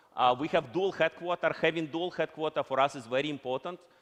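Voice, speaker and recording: A man speaks with a Russian accent. His pitch varies in an ordinary way. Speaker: company executive. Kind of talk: conference keynote.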